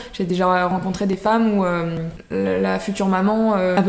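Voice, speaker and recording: A woman's medium-pitched, flat and monotone voice amid noticeable background noise and audible room echo. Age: 20s. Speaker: naturopath. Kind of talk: interview. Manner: hesitant, many fillers.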